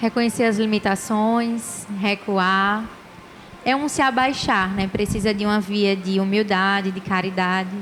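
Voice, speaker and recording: A woman with an Alagoas accent talks at a fairly slow pace, her medium-pitched voice keeping a fairly even intonation. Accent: Alagoas accent noticeable. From Maceió, Brazil. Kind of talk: TV panel discussion.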